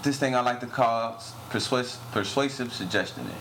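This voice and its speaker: A man speaks over noticeable background noise. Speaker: podcast host. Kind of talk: casual banter. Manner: casual, joking.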